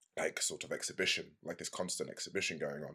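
An animated man with an English accent talks at a fairly quick pace on a very clean recording with a silent background. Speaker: actor and video game voice actor. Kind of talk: casual interview. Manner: animated, laughs often.

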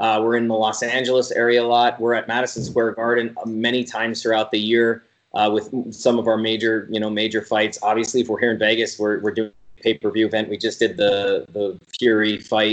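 With an Ontario accent, the speaker goes at a fairly quick pace in a monotone, flat intonation, with hardly any pauses. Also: man, medium pitch for a man. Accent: Canadian (Ontario). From Canada, Sault Ste. Marie, Ontario. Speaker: arena entertainment producer. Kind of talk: casual interview.

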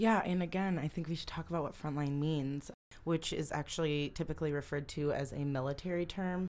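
A woman with an American accent speaks at a fairly quick pace. Her very deep, low voice keeps a fairly even intonation. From Holland, Michigan. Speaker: podcast co-host. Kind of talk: casual chat.

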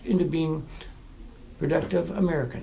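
A man with a fairly high pitch and a dark, mellow tone speaks at a moderate pace with vocal fry, and audible room echo surrounds him. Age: 50s. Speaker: formerly homeless veteran. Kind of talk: personal testimony. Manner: halting.

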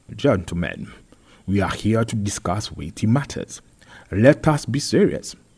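In a put-on character voice, a man speaks fairly low and fairly slowly, with a slightly mellow tone, a slightly husky edge and lively intonation.

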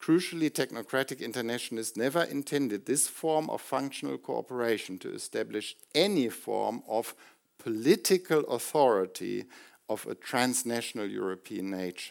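On a very clean recording with a silent background, a man with a medium-pitched voice speaks at a moderate pace with lively intonation. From Germany. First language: German. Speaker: professor. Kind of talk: lecture. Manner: formal.

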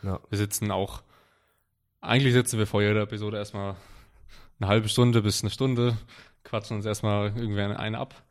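Speaking very fast but with long, frequent pauses, a man with a fairly low pitch talks in a flat monotone over a silent background in a very clean recording. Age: 20s. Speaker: powerlifter and online coach. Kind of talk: casual chat. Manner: halting, many fillers and repetitions.

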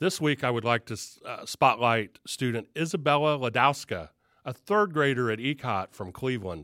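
A man's medium-pitched voice with a Southern Ohio accent, bright and sharp in tone, with very wide pitch swings at a moderate pace, dry and close with no echo, on a very clean recording with a silent background. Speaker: school superintendent and show host. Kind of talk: interview on a video show.

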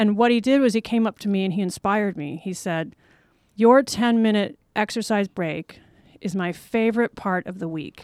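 In a very clean recording with a silent background and a dry, close sound with no echo, a woman with an American accent uses a normal speaking voice at medium pitch, a moderate pace and ordinary pitch variation. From Los Angeles, US. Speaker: wellness advocate, online yoga business owner. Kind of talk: casual interview. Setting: studio.

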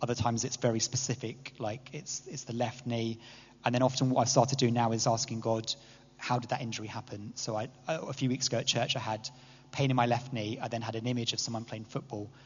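Speaking at a very fast pace with an English accent, a man sounds somewhat breathy. His intonation is flat and monotone. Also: medium pitch for a man. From England. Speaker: church speaker. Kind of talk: talk to a church group. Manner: hesitant, many fillers.

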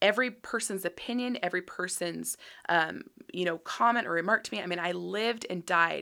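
This woman, in an American accent, has a fairly low pitch with vocal fry and a bright, sharp tone. She speaks at a fairly quick pace. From Utah. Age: 30s. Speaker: podcast host. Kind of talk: monologue. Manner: casual, many fillers.

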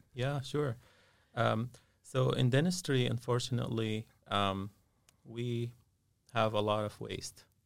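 Using an Arabic accent, a man speaks at medium pitch and a fairly slow pace with ordinary pitch variation and long, frequent pauses. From Syria. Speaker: dentist and business owner. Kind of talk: interview. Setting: studio. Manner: halting, many filler sounds.

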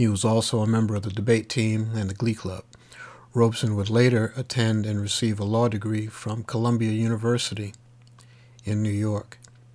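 Here a man has an ordinary speaking voice with a fairly low pitch. He talks at a fairly quick pace. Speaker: radio host. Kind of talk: radio DJ patter. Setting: remote studio in Texas. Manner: smooth, warm, steady announcer delivery; clear, upbeat, informative, rattling off station info and track credits.

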